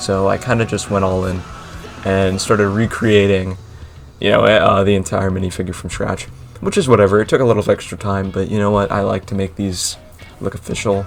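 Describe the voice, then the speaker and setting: With music in the background, a man speaks at a fairly quick pace in a monotone, flat delivery at a fairly low pitch. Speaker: LEGO model maker and YouTuber. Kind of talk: voice-over commentary on a tutorial. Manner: hesitant, with filler words; casual.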